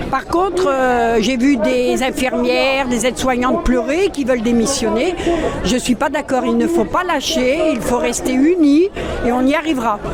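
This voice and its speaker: A woman with a high voice speaks at a fairly slow pace, with ordinary pitch variation and very even loudness. Crowd noise sits in the background, and room echo is audible. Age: 60s. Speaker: protester. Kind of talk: street interview. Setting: outdoors at a street protest.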